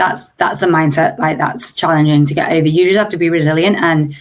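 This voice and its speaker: A woman's fairly low voice with an English accent at a moderate pace. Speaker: startup founder. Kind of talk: interview.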